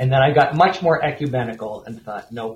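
Somewhat breathy, a man of medium pitch talks with an American accent. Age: 60s. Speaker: author and editor. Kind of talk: interview. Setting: remote call into studio.

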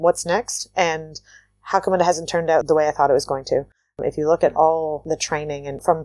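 A woman with a Canadian accent, a very deep, low pitch and a dark, mellow tone, at a moderate pace on a very clean recording with a silent background. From Canada, Waterloo, Ontario. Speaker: entrepreneur. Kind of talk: interview conversation.

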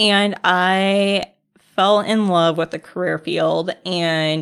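A woman with an American accent has an unremarkable speaking voice at medium pitch and fairly even intonation. The recording is very clean, with a silent background. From US Midwest, northern Indiana. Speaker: emergency manager. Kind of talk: interview.

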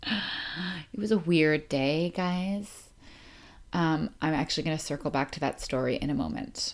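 An unremarkable speaking voice from a woman, fairly low and fairly slow, with lively intonation over a very clean recording and silent background. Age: 30s. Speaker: podcast host and author. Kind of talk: casual monologue. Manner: casual, rambling with laughs.

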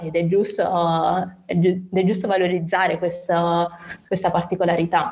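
This woman's voice, fairly low in pitch and somewhat breathy, moves at a moderate pace. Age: 20s. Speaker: nurse and rare disease patient. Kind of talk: interview testimony. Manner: hesitant, many fillers.

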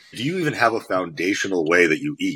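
His voice carries an American accent. This man's pitch leaps up and down across a very wide range. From US Northeast (Connecticut). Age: 30s. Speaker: fitness coach. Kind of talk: casual interview chat. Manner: animated.

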